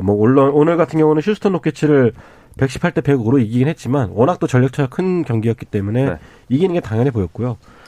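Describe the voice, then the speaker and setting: A man talks at a very fast pace in a medium-pitched voice with a dark, mellow tone and very wide pitch swings. The background is quiet. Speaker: basketball journalist. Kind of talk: sports talk radio panel. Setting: radio studio.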